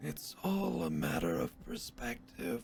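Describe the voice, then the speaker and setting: Over clear background noise, a put-on character voice speaks at a fairly slow pace with a very deep, low pitch. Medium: actual play. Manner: halting, clipped broken grammar.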